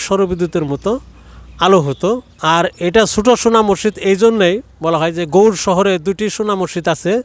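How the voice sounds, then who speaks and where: Pitched high, a man speaks with fairly flat intonation while clear noise carries on behind him. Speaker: local elder. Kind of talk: oral history explanation. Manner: halting.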